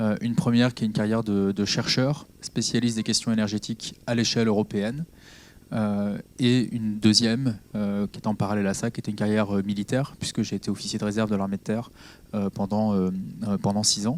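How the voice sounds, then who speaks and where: Against a silent background in a very clean recording, a man speaks quickly-ish at a fairly quick pace, his fairly low voice keeping a fairly even intonation. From Normandy, France (Caen, Calvados). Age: 30s. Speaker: politician. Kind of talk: public talk. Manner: halting, many fillers.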